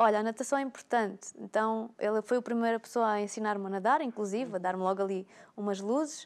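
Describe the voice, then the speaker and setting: A woman talks at a very fast pace, her pitch fairly high and her intonation fairly even. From Alentejo, Portugal. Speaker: personal trainer. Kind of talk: casual talk show chat. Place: studio.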